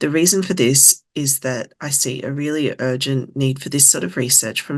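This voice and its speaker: A woman speaks in an Australian accent. Her pitch is very deep and low. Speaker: lived experience advisor. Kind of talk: presentation. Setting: webinar.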